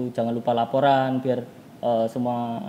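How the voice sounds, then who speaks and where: His pace is moderate. The man talks at a medium pitch. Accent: strong Javanese. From Palembang, Indonesia. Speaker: student club leader. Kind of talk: casual chat.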